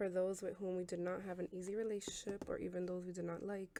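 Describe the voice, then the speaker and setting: A soft-spoken woman has a dark, mellow tone and a medium pitch. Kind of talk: ASMR oracle card reading.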